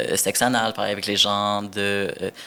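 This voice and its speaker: A man's fairly low voice with a bright, sharp tone, on a very clean recording with a silent background. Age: 20s. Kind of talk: casual interview chat. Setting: podcast recording.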